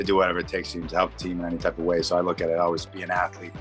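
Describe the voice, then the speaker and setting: A man talks at a very fast pace in a very deep, low pitch. Music plays in the background. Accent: American. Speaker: football player. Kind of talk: interview answer.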